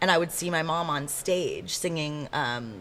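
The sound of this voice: With an American accent, a woman speaks in a low voice with a fairly bright tone, her intonation lively and her pace fairly slow.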